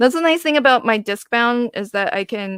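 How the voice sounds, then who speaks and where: A woman with an American accent speaks with lively intonation in a dry, close sound with no echo. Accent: occasional slight Southern twang. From US South, Virginia. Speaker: craft livestream host. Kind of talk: casual chat. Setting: livestream video call with guests.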